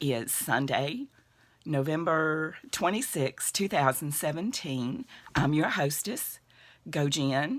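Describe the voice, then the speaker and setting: A woman speaks at a very deep, low pitch. Her pitch swings very widely. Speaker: crochet podcast host. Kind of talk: casual chat. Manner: chatty, hesitant with fillers.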